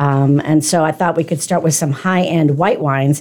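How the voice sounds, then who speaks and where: A woman's very deep, low voice with an American accent, dark and mellow in tone, on a very clean recording with a silent background. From US West Coast, San Francisco. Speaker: radio host, wine expert. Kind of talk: casual radio interview. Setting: radio studio.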